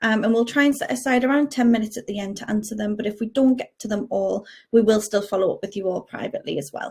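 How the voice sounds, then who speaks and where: A woman with a Geordie accent rattles along at a very fast pace with hardly any pauses, her fairly high voice somewhat breathy. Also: ordinary pitch variation. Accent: Geordie, toned down. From northern England, Newcastle area. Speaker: payroll specialist. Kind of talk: webinar presentation.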